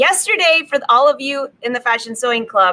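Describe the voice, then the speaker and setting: A woman talks at a fairly quick pace. Her voice is raised and projected. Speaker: sewing instructor, host. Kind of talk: casual live stream chat. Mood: cheerful, laughing. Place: workshop. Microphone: webcam.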